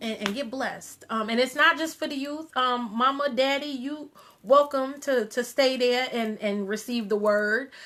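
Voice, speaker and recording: A woman with a high voice talks at a moderate pace with hardly any pauses and ordinary pitch variation, over noticeable background noise. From US Northeast, Long Island (Wyandanch, New York). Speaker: radio show host. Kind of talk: casual live stream talk. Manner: many fillers, halting.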